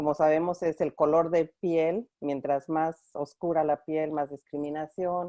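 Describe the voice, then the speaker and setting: Her voice is very deep and low, and a Mexican accent comes through. The woman speaks in a monotone, flat way with hardly any pauses. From Mexico (Mexico City). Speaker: clinical supervisor at a women's organization. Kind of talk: online conference interview.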